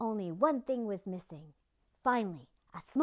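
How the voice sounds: The clip features a natural reading voice.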